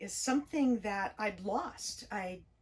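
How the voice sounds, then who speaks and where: This woman's voice sits at a medium pitch and comes across as somewhat breathy. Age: 60s. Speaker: spiritual YouTuber. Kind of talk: personal vlog monologue. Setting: parked RV near train tracks. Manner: gentle, reflective.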